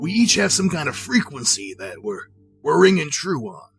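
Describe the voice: Put-on character voice of a man with a Southern accent, fairly high and raspy, with very wide pitch swings and big swings in loudness at a moderate pace, music in the background.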